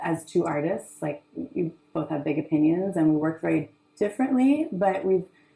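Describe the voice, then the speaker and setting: Loud and fairly low in pitch, a woman speaks at a moderate pace. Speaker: artist. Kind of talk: panel discussion. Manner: projecting loudly; halting, many fillers.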